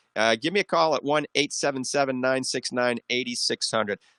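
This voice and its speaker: A man with an American accent talks at a fairly quick pace, his fairly high voice bright and sharp. The sound is dry and close with no echo, over a quiet background. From US South, New Orleans. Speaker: radio doctor show host. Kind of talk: radio call-in advice show. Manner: fast.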